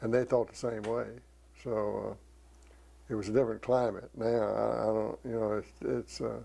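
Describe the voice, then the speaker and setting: With a Southern US accent, a man talks at a moderate pace, leaving long, frequent pauses. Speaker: retired priest and engineer. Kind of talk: oral history interview. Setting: at home. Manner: halting.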